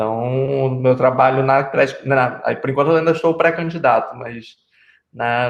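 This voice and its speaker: A man's medium-pitched voice in a Rio de Janeiro accent, with fairly even intonation at a moderate pace. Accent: Rio de Janeiro (carioca). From Rio de Janeiro, Brazil. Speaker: city council candidate. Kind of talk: casual chat. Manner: halting.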